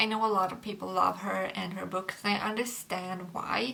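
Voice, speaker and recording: A woman with a Swedish accent speaks at a fairly slow pace. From Sweden. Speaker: book youtuber. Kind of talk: casual chat. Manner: halting.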